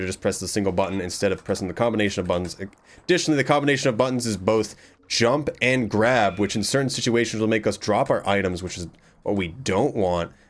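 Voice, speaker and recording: A man's fairly low voice at a very fast pace, with ordinary pitch variation, on a very clean recording with a silent background. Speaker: gaming streamer. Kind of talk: live gameplay commentary.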